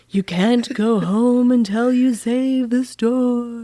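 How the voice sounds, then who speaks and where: A put-on character voice at a fairly high pitch moves along at a very slow pace. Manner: spooky, ominous.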